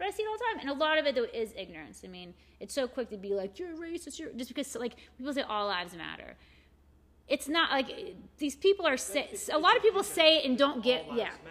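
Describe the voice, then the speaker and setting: Talking very fast in an American accent, a woman uses a high pitch with very wide swings. Her loudness rises and falls a great deal. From Morgantown, West Virginia. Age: 40s. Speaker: shop owner and art event organizer. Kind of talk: casual chat.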